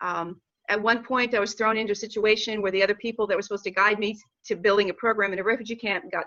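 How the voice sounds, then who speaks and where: This woman talks very fast in a fairly high pitch. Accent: American. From Oklahoma, US. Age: 60s. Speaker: panelist on a nonprofit discussion. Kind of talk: panel discussion.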